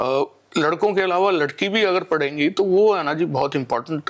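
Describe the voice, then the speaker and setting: A normal speaking voice from a man, fairly high-pitched, with ordinary pitch variation and a moderate pace. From Delhi, India. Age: 60s. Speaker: community member. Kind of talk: interview.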